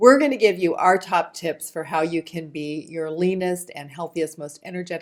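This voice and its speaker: A woman in a normal speaking voice, fairly low in pitch with ordinary pitch variation, at a fairly quick pace. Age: 60s. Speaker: former nurse and diet author. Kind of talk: presentation.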